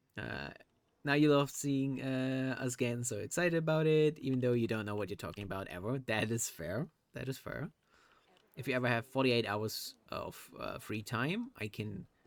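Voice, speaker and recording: In a German accent, a man speaks at a moderate pace and medium pitch. His pitch varies in an ordinary way. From Germany. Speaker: streamer. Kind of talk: casual live stream chat.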